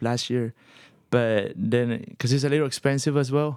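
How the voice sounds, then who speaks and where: A man's unremarkable speaking voice at a moderate pace, with fairly even intonation. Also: very clean recording, silent background. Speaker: band lead singer. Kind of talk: casual interview chat.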